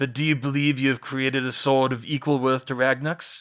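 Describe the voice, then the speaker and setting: Using a growling, put-on character voice, a man speaks at a fairly quick pace with medium pitch and monotone, flat intonation against a quiet background. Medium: read story. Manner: curt, dismissive, formal.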